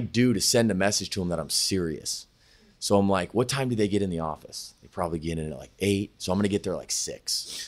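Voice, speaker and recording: A man with an American accent, a normal speaking voice, fairly low-pitched and fairly quick, against a quiet background. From California (Sacramento, Thousand Oaks). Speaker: sports agent. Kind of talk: casual interview chat. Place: office. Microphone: studio mic.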